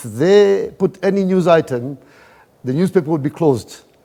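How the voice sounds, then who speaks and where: A man speaks with a Kenyan coastal accent at a fairly slow pace. His tone is dark and mellow. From Kenya, Mombasa. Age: 60s. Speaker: event organizer. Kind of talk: interview.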